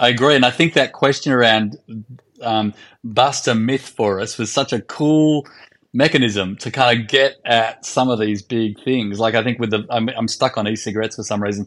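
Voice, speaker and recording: Fairly even in intonation, a man talks in an Australian accent. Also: medium pitch for a man, moderate pace. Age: 50s. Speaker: podcast co-host. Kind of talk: casual chat.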